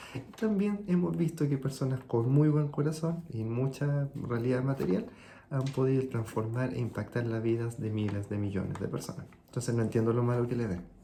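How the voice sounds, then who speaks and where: A man's somewhat breathy voice with a dark, mellow tone and a Chilean accent, at a moderate pace with lively intonation. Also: medium pitch for a man. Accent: Chilean, sing-song. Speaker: consultant and video host. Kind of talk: reflective monologue.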